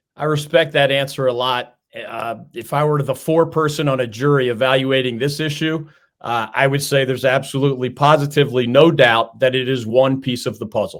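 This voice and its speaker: Here a man talks at a fairly quick pace with fairly even intonation. He has an ordinary speaking voice at medium pitch. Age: 50s. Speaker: sports talk show host. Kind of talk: interview. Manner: casual.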